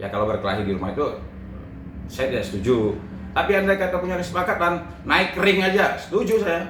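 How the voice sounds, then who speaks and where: Amid noticeable background noise and audible room echo, a man keeps up a fairly quick pace. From Sumatra (Lampung-born, Palembang family). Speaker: lawyer. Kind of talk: interview.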